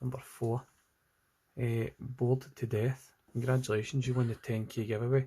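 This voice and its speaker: A man with a Scottish accent talks at a moderate pace in a flat monotone, his dark, mellow tone somewhat breathy. He leaves long, frequent pauses. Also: medium pitch for a man. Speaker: digital artist. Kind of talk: casual livestream chat while drawing.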